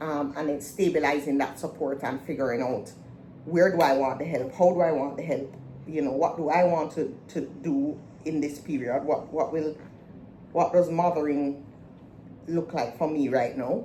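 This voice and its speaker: A woman talks at a moderate pace in a very deep, low voice with fairly even intonation. Audible room echo can be heard. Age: 40s. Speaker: vlogger / podcast host. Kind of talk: casual personal vlog talk. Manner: halting, many fillers.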